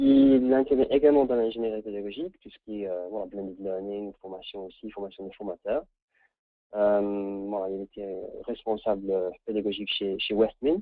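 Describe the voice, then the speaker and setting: A man at a moderate pace, fairly low in pitch, with an English accent. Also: ordinary pitch variation. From England. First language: English (speaking French). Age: 30s. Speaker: training consultant. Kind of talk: webinar presentation. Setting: online webinar. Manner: halting, many repetitions.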